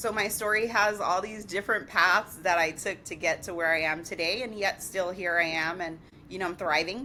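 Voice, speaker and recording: With an American accent, a woman speaks at a moderate pace in a medium-pitched, bright, sharp voice with ordinary pitch variation. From New York, the Bronx. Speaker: digital branding entrepreneur. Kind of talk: podcast interview.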